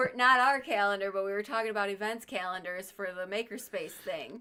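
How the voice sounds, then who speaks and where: A woman speaks at a moderate pace with a medium pitch and ordinary pitch variation. Her tone is bright and sharp. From Chicago area, US Midwest. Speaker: artist and author. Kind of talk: casual live stream chat.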